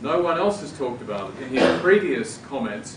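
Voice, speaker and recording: With an Australian accent and lively intonation, a man talks at a moderate pace over noticeable background noise and audible room echo. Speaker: law professor, debate panelist. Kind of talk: panel debate. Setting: university event with audience.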